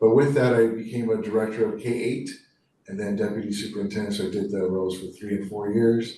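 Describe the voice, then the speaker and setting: A man with a fairly low voice speaks very fast in a monotone, flat way, with audible room echo. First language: Spanish. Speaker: school superintendent. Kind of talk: formal presentation at a board meeting. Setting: public board meeting. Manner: casual and warm, with fillers.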